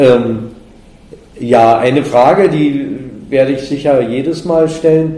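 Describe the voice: A man at a slow pace, dark and mellow in tone, with ordinary pitch variation and audible room echo. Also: medium pitch for a man.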